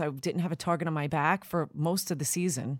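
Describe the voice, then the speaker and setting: A woman with a Long Island accent speaks at a moderate pace, her fairly low voice showing ordinary pitch variation on a very clean recording with a silent background. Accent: Long Island New York. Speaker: podcast host. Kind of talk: casual chat.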